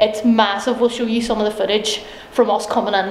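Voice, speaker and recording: A woman is speaking. Audible room echo can be heard on her voice. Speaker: paranormal vlog host. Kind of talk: casual vlog chat. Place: hall. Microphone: phone near.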